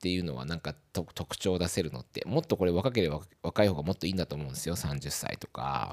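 A man with a very deep, low voice talks very fast with vocal fry, recorded dry and close with no echo. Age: 40s. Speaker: podcast host. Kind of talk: casual monologue. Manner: hesitant, many fillers.

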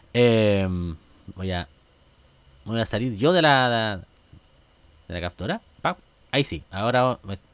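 In a Chilean accent, a man at a medium pitch speaks at a fairly slow pace with lively intonation, an animated tone and long, frequent pauses, on a very clean recording with a silent background. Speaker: podcast host. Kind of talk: casual comedic monologue.

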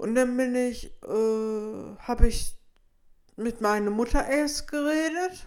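A woman with a high voice talks very slowly, her pitch varying in an ordinary way. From Petershagen, North Rhine-Westphalia. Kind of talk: interview. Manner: halting.

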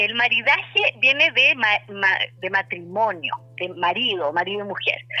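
Over noticeable background noise, a woman with a medium pitch speaks at a fairly slow pace with lively intonation. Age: 40s. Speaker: journalist and wine writer. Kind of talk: radio interview.

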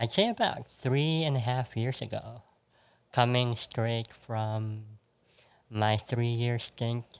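A man with a Filipino accent speaks at a medium pitch. His pace is very slow, with long, frequent pauses. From Philippines. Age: 30s. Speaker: podcast guest. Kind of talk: casual chat.

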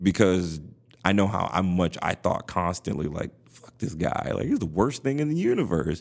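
At a moderate pace, a man with a very deep, low pitch speaks with lively intonation and big swings in loudness. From Compton, Los Angeles. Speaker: podcast host. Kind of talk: casual chat. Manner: animated.

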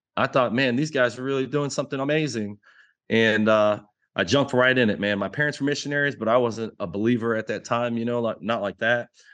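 This man talks at a very fast pace, his pitch medium and its variation ordinary. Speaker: army veteran and entrepreneur. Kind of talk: casual interview. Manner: halting, many fillers.

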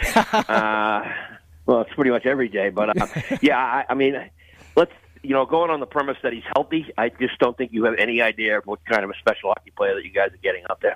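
The dry, close sound with no echo carries a speaker with an American accent, ordinary pitch variation and a fairly quick pace. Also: man, medium pitch for a man. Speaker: college hockey color commentator. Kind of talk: radio interview analysis.

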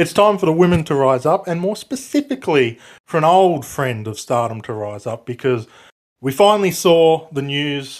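A man with an Australian accent and very wide pitch swings. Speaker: wrestling podcast co-host. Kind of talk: casual chat.

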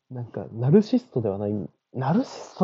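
A man speaks with a somewhat breathy voice. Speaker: podcast host. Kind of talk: solo monologue. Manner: casual.

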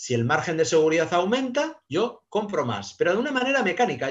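Pitch swings very widely as a man talks at a fairly quick pace. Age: 50s. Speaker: private investor. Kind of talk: casual interview. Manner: hesitant, many fillers and repetitions.

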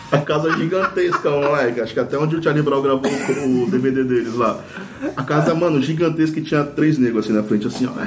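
Amid noticeable background noise and audible room echo, a man with a fairly high pitch speaks at a fairly quick pace, his loudness very even and his pitch variation ordinary. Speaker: rock band singer. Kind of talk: casual chat.

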